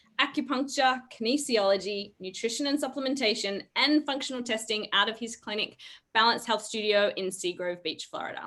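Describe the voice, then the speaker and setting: A woman talks loud and at a fairly quick pace, her fairly high pitch carrying a bright, sharp tone with ordinary pitch variation. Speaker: wellness show co-host. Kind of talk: live video call chat.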